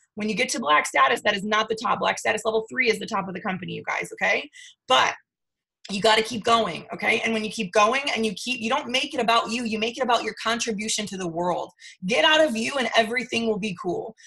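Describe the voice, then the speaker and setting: Her tone animated, a woman speaks at a very fast pace with a fairly high pitch. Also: ordinary pitch variation. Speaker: network marketing team leader. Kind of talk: motivational team training call. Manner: loud.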